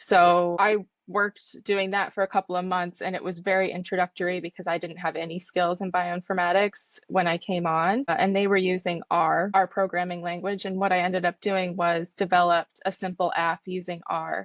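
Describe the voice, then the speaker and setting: A woman with an American accent speaks at a medium pitch and a moderate pace, with hardly any pauses. Her intonation is monotone and flat. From United States. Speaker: trainee clinical scientist. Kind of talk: interview.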